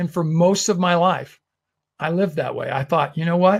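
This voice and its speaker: This man's voice sits high in pitch. He talks fairly quickly. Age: 60s. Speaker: webinar host. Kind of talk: webinar presentation. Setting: online webinar.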